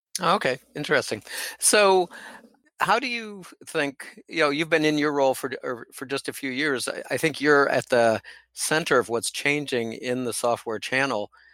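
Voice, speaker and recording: With an American accent, a man speaks at a moderate pace in a fairly high pitch, using a bright, sharp tone and lively intonation, on a very clean recording with a silent background and a dry, close sound with no echo. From rural US. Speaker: podcast host. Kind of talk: interview.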